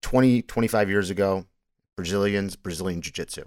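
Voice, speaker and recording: With a dry, close sound, no echo and a silent background on a very clean recording, a man speaks at a fairly low pitch with ordinary pitch variation. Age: 40s. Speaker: MMA podcast host. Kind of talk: solo podcast monologue on fight analysis. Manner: casual, with frequent word repetitions and fillers.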